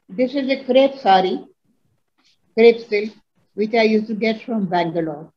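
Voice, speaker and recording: Speaking at a moderate pace with long, frequent pauses, a woman uses a fairly high, somewhat breathy voice with a dark, mellow tone. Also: ordinary pitch variation. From India, Hyderabad; India. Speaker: textile craft revivalist. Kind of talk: interview. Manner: halting. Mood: proud, reminiscing. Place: home room. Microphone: video call.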